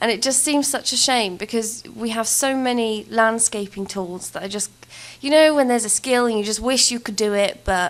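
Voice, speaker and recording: A woman with an English accent speaks, her pitch varying in an ordinary way. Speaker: gaming YouTuber. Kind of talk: voiceover commentary. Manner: casual, hesitant with many fillers.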